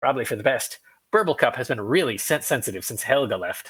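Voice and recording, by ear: A man's squeaky put-on character voice, fairly high-pitched and very fast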